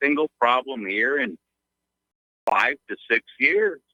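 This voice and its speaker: A bright, sharp tone with vocal fry moves at a fairly slow pace through very wide pitch swings, in a dry, close sound with no echo. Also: man. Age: 60s. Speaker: caller, trader. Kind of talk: phone call-in. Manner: halting, many fillers.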